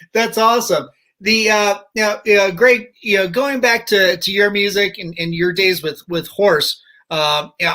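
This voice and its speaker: A man projects a raised voice with a high pitch and a bright, sharp tone. He keeps a fairly slow pace with ordinary pitch variation. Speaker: podcast host. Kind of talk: casual talk show host banter.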